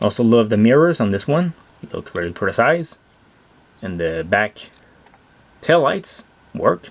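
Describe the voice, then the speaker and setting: With a Quebec accent, a man talks at a fairly slow pace with very wide pitch swings. He leaves long, frequent pauses. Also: medium pitch for a man. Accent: French Canadian accent in English. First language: French. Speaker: toy car collector and reviewer. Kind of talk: product review. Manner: animated.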